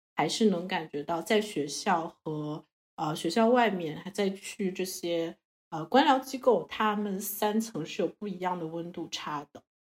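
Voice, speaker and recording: A woman's normal speaking voice, a normal speaking voice at medium pitch, fairly slow in pace, with ordinary pitch variation and big swings in loudness. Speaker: Chinese student living abroad. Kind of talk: casual chat.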